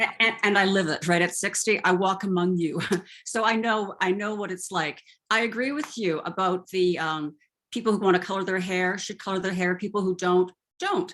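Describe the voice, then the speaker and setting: A woman speaks in a normal speaking voice at a moderate pace, her intonation fairly even. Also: medium pitch for a woman. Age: 60s. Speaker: retired journalist. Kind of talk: interview.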